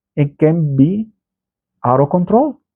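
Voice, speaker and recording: A man with a Salvadoran accent, fairly slow in pace, with very wide pitch swings. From El Salvador. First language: Spanish. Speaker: political commentator, channel owner. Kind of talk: political commentary monologue. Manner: halting, repeats words.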